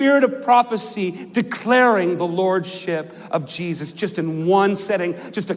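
A natural voice reading aloud

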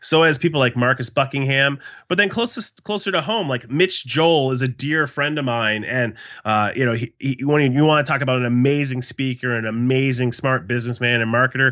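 With an unremarkable speaking voice, a man talks at a fairly quick pace in a medium pitch with ordinary pitch variation against a quiet background. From New Hampshire, US. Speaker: speaker and marketing consultant. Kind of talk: interview conversation.

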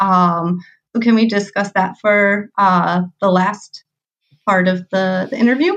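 With a Midwestern American accent, the speaker talks at a fairly slow pace with fairly even intonation. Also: woman, medium pitch for a woman. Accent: Midwestern American, nasal. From US Midwest. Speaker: podcast host. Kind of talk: interview conversation.

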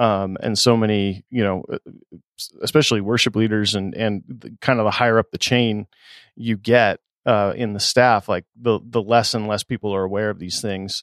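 An ordinary speaking voice with fairly even intonation and a moderate pace, captured on a very clean recording against a silent background. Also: man, fairly low pitch for a man. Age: 40s. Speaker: podcast host for worship leaders. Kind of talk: casual chat.

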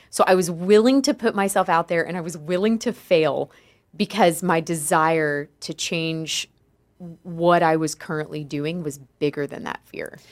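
A woman with an ordinary speaking voice, fairly low in pitch, with ordinary pitch variation, big swings in loudness and a fairly slow pace. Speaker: podcast co-host. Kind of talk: casual chat.

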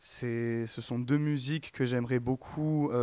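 A man with a plain, everyday voice speaks at a medium pitch with fairly even intonation in a very clean recording with a silent background. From Provence, France. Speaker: singer, music student. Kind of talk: radio interview. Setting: studio.

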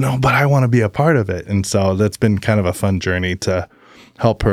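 A man with an American accent and a normal speaking voice, ordinary pitch variation, moderate pace. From Oregon, US. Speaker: barbecue business owner. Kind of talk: testimony.

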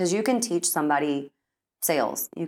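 Talking at a fairly quick clip, a woman has an American accent. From Texas (Austin area). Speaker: entrepreneur. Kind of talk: interview conversation.

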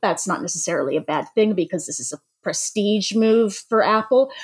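A woman with an unremarkable speaking voice talks fairly quickly at a medium pitch with lively intonation. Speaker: podcast co-host. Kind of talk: casual chat.

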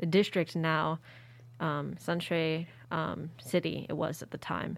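A woman speaks in a plain, everyday voice with an American accent, at a fairly low pitch and fairly slow pace. Her intonation is fairly even, on a very clean recording with a silent background. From Philadelphia, US. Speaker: university student. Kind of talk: casual chat.

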